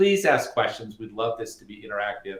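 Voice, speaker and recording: A man is speaking. He has an American accent. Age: 60s. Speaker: energy company co-founder. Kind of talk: webinar talk. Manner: animated.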